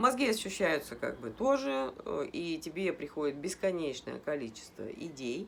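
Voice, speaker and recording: A woman talks at a moderate pace in a very deep, low pitch. Her pitch swings very widely. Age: 50s. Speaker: health blogger. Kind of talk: casual talk to camera.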